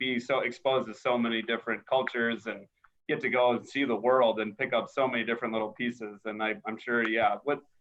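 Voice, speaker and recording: A man speaks. He has a Minnesota accent. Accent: Minnesota (Upper Midwest US). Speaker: podcast host. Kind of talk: casual interview chat.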